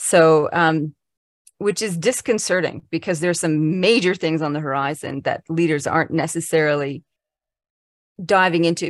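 Using a plain, everyday voice, this woman talks at a moderate pace, with a fairly low pitch and ordinary pitch variation. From Canada. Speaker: leadership futurist. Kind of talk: casual interview conversation.

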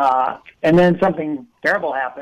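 Fairly high in pitch, a man speaks at a moderate pace. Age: 60s. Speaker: journalist, obituary writer. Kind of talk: interview.

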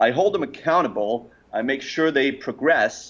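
This is a man with a Danish accent. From Denmark. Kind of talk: interview. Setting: remote call.

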